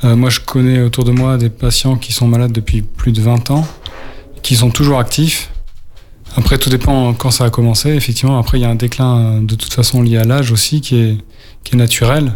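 A man's medium-pitched, monotone voice at a moderate pace, with flat intonation and very even loudness over noticeable background noise. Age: 40s. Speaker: radio co-host living with Parkinson's. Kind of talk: radio talk show. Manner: halting.

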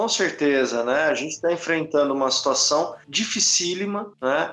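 Noticeable background noise surrounds a man speaking fairly slowly in a fairly high pitch. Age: 40s. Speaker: rock musician. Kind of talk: casual interview chat.

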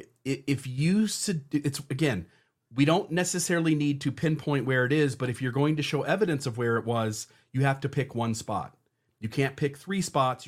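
A somewhat breathy man with a fairly high pitch, ordinary pitch variation, and a moderate pace. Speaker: podcast co-host. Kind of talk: casual chat.

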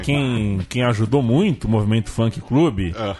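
A man's medium-pitched voice at a fairly slow pace, with ordinary pitch variation, an ordinary speaking voice. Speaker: podcast host. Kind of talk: casual chat.

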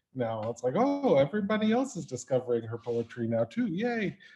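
Music plays behind a speaker with an American accent. The pace is moderate, and the pitch swings very widely. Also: man. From New York. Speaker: host. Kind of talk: casual conversational interview. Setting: video call.

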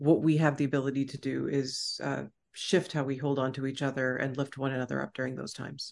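In an American accent, a woman speaks at a very fast pace. Her pitch is very deep and low, and her voice has vocal fry. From Texas. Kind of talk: casual conversational interview.

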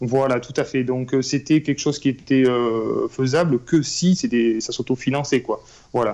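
Here a man speaks at a fairly slow pace with fairly even intonation. His tone is dark and mellow. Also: medium pitch for a man. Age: 30s. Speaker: real estate investor. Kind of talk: interview.

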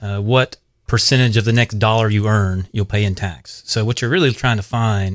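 A man with a South Carolina accent speaks at a moderate pace in a fairly low pitch with ordinary pitch variation, the sound dry and close with no echo over a quiet background. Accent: Southern US (South Carolina). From US South, upstate South Carolina. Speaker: financial planner. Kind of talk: radio interview. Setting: studio.

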